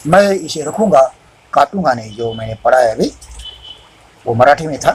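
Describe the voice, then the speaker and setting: Here a man speaks at a fairly high pitch with lively intonation. His loudness swings widely. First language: Marathi (speaking Hindi). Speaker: preacher. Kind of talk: sermon. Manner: halting, self-correcting.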